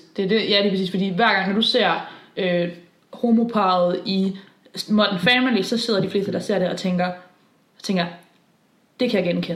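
With audible room echo, a woman of medium pitch talks at a moderate pace, with fairly even intonation and long, frequent pauses. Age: 20s. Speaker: podcast co-host. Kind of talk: casual chat.

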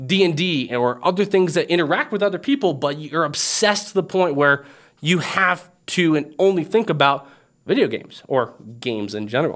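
Animated and fairly quick, a man talks at a fairly high pitch with very wide pitch swings, on a very clean recording with a silent background. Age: 30s. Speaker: gaming video host. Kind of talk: casual vlog monologue.

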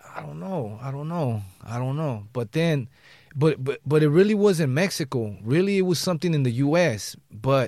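A man with an American accent speaks at a moderate pace with lively intonation in an unremarkable speaking voice. The recording is very clean, with a silent background. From Los Angeles, West Side. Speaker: rapper. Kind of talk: casual chat. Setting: studio.

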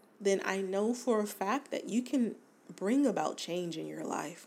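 A woman at medium pitch talks in an animated tone with lively intonation. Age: 40s. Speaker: podcast host. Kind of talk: casual solo monologue.

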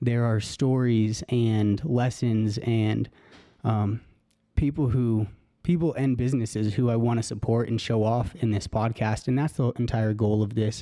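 At a fairly slow pace, a man speaks with an American accent on a very clean recording with a silent background. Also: medium pitch for a man, fairly even intonation. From Colorado. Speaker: podcast host. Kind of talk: podcast intro monologue.

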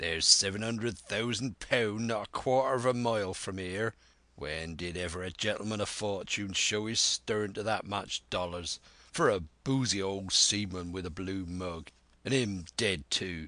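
At a moderate pace over a quiet background, a man uses a put-on character voice with a fairly low pitch. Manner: defiant, blustering.

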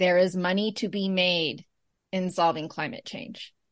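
At a fairly slow pace, an unremarkable speaking voice with an American accent shows ordinary pitch variation. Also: woman, quiet background. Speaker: podcast host. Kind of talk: casual interview.

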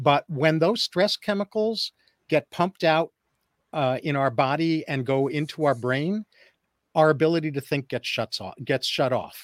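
A man's normal speaking voice, fairly high in pitch with lively intonation at a moderate pace, dry and close with no echo, in a very clean recording with a silent background. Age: 60s. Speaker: psychologist. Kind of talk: interview. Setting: radio studio interview.

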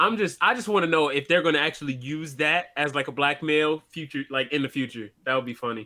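A man with an American accent talks at a fairly quick pace, his fairly high voice bright and sharp in tone. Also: ordinary pitch variation. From Michigan. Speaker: podcast co-host. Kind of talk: casual chat. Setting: live stream.

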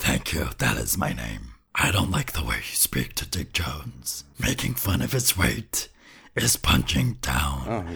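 A man speaks in a put-on character voice, very deep and low-pitched, raspy, at a fairly slow pace. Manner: pompous, moralizing.

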